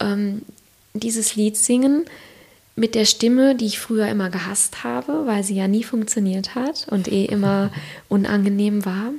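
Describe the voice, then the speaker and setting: A woman speaks at a fairly slow pace in a fairly high pitch with ordinary pitch variation. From Siegerland, Germany. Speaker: author and former marketing manager. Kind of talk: casual interview conversation. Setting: kitchen table at home.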